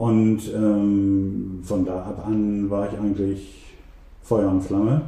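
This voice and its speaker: A man speaks very slowly in a flat monotone at a fairly low pitch, with audible room echo and noticeable background noise. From East Frisia, Emden (Transvaal district). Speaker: magazine editor and photographer. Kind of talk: interview. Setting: private home. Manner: hesitant with many fillers.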